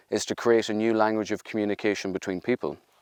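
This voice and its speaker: A man's fairly low voice, dry and close with no echo, against a quiet background. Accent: Irish. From Ireland. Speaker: research and innovation executive. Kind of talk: interview monologue.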